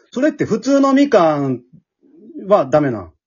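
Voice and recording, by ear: A man with a high pitch and a slightly husky edge speaks with big pitch swings. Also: moderate pace.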